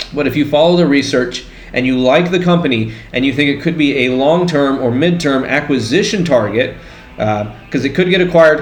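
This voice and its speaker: A man with a fairly high-pitched voice speaks in a room with audible echo and noticeable background noise. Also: ordinary pitch variation, fairly quick pace. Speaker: stock trading YouTuber. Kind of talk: pre-recorded investing tutorial. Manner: fast.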